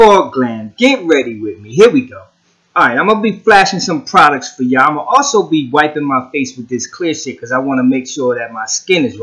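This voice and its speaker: A man with a fairly high pitch and a bright, sharp tone talks at a fairly quick pace, his pitch swinging very widely. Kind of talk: comedic voiceover of a makeup tutorial. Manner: casual, slangy, joking.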